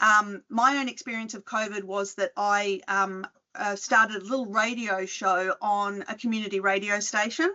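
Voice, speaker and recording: Here a woman talks with an Australian accent at medium pitch. Her intonation is fairly even, and she hardly pauses. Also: moderate pace. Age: 50s. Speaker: retail researcher and podcast host. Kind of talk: conference talk. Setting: video call. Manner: conversational, hesitant with fillers.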